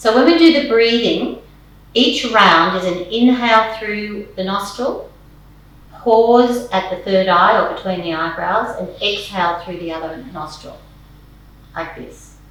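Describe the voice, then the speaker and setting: Noticeable background noise and audible room echo around a woman's fairly slow delivery. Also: medium pitch for a woman, lively intonation. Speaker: yoga and meditation teacher. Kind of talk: guided meditation. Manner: calm.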